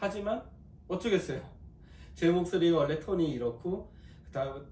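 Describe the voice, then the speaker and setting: A man's voice with lively intonation at a moderate pace, audible room echo and noticeable background noise. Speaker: golf fitter and instructor. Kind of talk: video tutorial. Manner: talkative, long-winded explaining.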